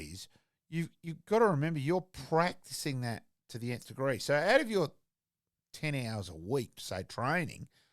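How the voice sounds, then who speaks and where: In a very clean recording with a silent background, a man with a fairly high pitch talks at a moderate pace, leaving long, frequent pauses, his loudness swinging widely and his pitch moving through very wide swings. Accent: Australian. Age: 60s. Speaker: former football umpire, sports pundit. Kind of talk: casual sports chat. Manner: animated.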